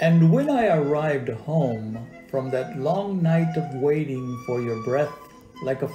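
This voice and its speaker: A man's fairly high-pitched voice at a fairly slow pace, with music in the background. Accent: American. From deep South Texas. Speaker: poet, writer and actor. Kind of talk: poetry reading.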